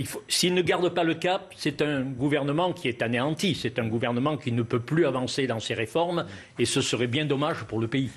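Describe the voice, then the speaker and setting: This man's voice sits fairly high in pitch with ordinary variation. He speaks at a moderate pace. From Lozère, southern France. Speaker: local representative. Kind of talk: TV panel debate.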